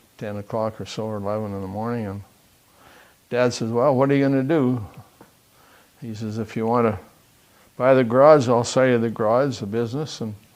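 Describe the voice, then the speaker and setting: A man with a Western Canadian accent talks at a fairly quick pace and medium pitch, with big swings in loudness and long, frequent pauses. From Southern Alberta, Canada. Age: 80s+. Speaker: retired business owner. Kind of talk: oral history interview.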